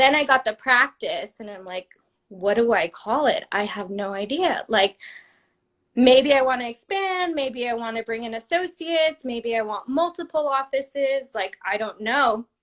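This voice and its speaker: A woman talks at a moderate pace with a high pitch and lively intonation. Her loudness swings widely. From rural New Mexico. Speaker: periodontist. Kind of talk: interview, casual storytelling. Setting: livestream video call. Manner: casual, filler-heavy.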